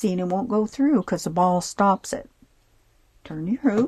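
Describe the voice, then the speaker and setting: With a dry, close sound and no echo, a woman speaks at a medium pitch in a somewhat breathy, dark, mellow tone with ordinary pitch variation. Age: 70s. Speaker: sewing and embroidery tutorial maker. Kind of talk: tutorial. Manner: casual, halting with fillers.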